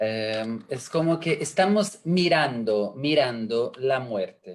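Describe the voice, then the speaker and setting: Speaking very slowly with an Italian accent, a man swings his pitch very widely. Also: medium pitch for a man. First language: Italian (speaking Spanish). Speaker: education expert. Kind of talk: panel discussion. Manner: halting.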